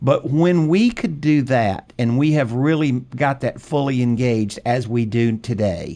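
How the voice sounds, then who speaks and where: The background is quiet. A man speaks at a medium pitch with ordinary pitch variation. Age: 60s. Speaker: real estate note investor and educator. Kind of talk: podcast interview. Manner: halting, repeats words.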